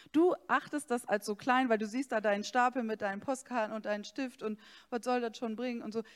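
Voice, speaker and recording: A woman with a normal speaking voice talks at a fairly quick pace and fairly high pitch, with ordinary pitch variation. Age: 40s. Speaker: pastor. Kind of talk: sermon.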